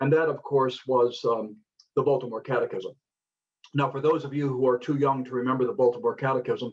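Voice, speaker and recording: A man's somewhat breathy, medium-pitched voice with an American accent, fairly quick and monotone, flat in intonation. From US South, Florida. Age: 60s. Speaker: speaker on faith and social justice. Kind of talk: conference talk. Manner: halting, many fillers.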